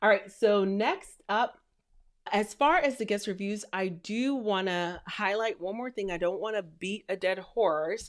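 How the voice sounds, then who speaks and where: On a very clean recording with a silent background, a woman speaks in an animated tone at a fairly slow pace with ordinary pitch variation. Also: medium pitch for a woman. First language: not English; English is her third language. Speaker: podcast host and rental business coach. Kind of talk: educational podcast talk.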